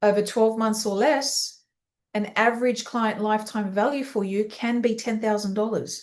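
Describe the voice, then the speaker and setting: This speaker has an Australian accent and an energetic tone. The pace is moderate. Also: woman. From Australia, Sydney. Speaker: business coach for teen coaches. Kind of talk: live webinar training. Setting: live online session.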